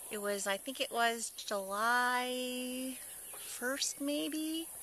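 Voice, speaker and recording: A woman with an Upper Midwest accent and lively intonation, over noticeable background noise. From North Dakota. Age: 30s. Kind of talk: interview answer. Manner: casual, reminiscing.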